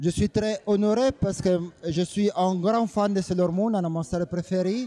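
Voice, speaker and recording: Moderate pace, very even loudness and fairly even intonation, with an Italian accent. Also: man, high pitch for a man. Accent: Italian, non-native French. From Italy. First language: Italian (speaking French). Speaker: animation designer. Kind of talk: interview answers. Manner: halting.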